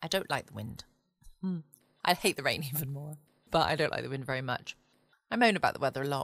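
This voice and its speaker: A woman is speaking. Her tone is relaxed. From England. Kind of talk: late-night podcast chat before sleep. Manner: relaxed, chatty.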